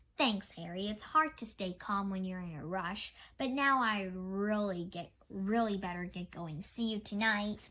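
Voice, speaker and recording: At a moderate pace, a woman performs a put-on character voice at a medium pitch. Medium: read story.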